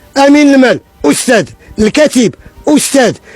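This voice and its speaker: With music in the background, a man speaks at a fairly quick pace with lively intonation. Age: 70s. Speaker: building contractor. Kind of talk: interview testimony. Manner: emotional, repetitive.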